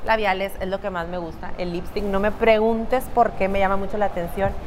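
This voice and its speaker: Fairly quick speech from a woman at a medium pitch, ordinary in pitch variation, over noticeable background noise. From northeastern Mexico. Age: 30s. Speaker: makeup artist and salon owner. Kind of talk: interview. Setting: studio.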